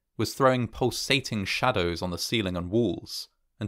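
An unforced reading voice over a quiet background

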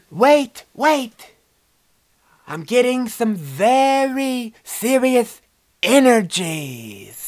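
This cartoonish character voice has a fairly high pitch and moves at a very slow pace with long, frequent pauses. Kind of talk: puppet comedy sketch. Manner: mystical, dramatic.

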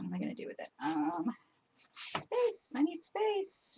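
A woman speaks at a fairly slow pace with big pitch swings, a fairly bright tone, a husky, rough edge and vocal fry.

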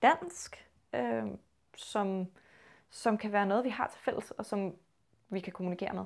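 This is a woman with a Copenhagen accent. The background is quiet. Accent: low Copenhagen Danish. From Copenhagen, Denmark; Denmark. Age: 20s. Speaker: linguistics student. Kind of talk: interview. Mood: calm, thoughtful. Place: home room. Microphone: lapel.

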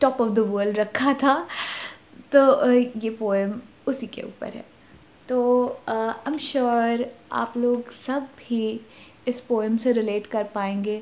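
A woman with a fairly high pitch talks at a very slow pace, using fairly even intonation and long, frequent pauses. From Patna, Bihar, India. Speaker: poet. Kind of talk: casual talk to camera. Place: home room. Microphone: phone near.

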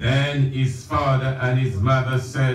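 Audible room echo and light background noise surround the man who is talking. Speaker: preacher. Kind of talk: sermon. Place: church. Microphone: camera far.

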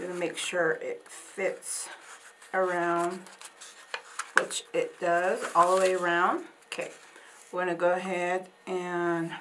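Over noticeable background noise, a woman speaks at a very slow pace in a monotone, flat intonation with long, frequent pauses. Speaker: craft instructor. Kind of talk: tutorial. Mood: warm, calm. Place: studio.

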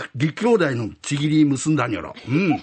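Using vocal fry and a fairly high pitch, a man speaks at a moderate pace in an animated, timid tone with very wide pitch swings. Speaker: rakugo storyteller. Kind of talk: rakugo storytelling, performing python, snake boss and other characters. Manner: animated, switching between gruff Edo-style tough-guy and timid voices.

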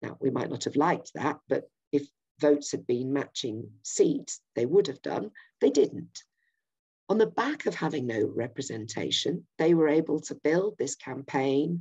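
Against a quiet background, a woman with a very deep, low pitch and a dark, mellow tone speaks at a fairly slow pace with lively intonation. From Yorkshire, England. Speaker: political campaigner. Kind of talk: political presentation. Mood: earnest, persuasive. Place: home room. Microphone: webcam.

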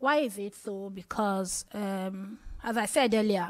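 A woman in a Nigerian accent speaks at a fairly slow pace against a quiet background. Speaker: radio journalist, health advocate; radio journalist. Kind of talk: panel discussion. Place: hall. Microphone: podium.

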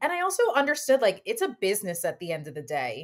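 Here a woman speaks with an American accent and very wide pitch swings. The background is quiet. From New York, Westchester County; New York. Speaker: content creator and former fashion editor; podcast guest. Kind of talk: casual interview. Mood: reflective, candid. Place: home room. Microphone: webcam.

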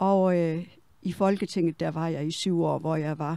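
On a very clean recording with a silent background, a woman with a dark, mellow tone speaks fairly slowly in a fairly low pitch with fairly even intonation. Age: 70s. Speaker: retired politician. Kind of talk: personal interview monologue. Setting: walking tour in botanical garden greenhouse. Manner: halting.

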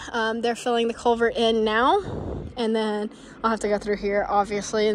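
A woman speaks with monotone, flat intonation. The sound is dry with no echo, and light background noise is present. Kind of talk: casual vlog chat. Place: street. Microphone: phone near.

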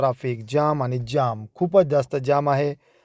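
A man speaks in a normal speaking voice, fairly high in pitch with fairly even intonation. The recording is very clean, with a silent background. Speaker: vlogger. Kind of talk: travel vlog narration. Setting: in a car.

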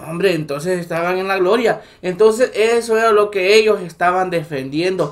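A man with a Salvadoran accent speaks in an animated tone at a moderate pace, with a high pitch and ordinary pitch variation. His loudness swings widely and he hardly pauses. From El Salvador. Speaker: political commentary YouTuber. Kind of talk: political commentary monologue. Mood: indignant, critical.

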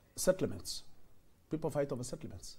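The voice is somewhat breathy with a dark, mellow tone. It moves at a very fast pace. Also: man. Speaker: politician guest. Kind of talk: interview answer. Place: studio.

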